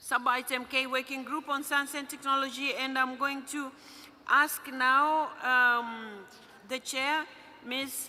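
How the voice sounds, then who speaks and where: In a raised, projected voice, a woman with a non-native accent speaks very slowly, high-pitched and monotone with flat intonation. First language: not English. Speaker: parliamentary assembly president chairing a meeting. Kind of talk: formal meeting chairing. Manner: halting, with fillers.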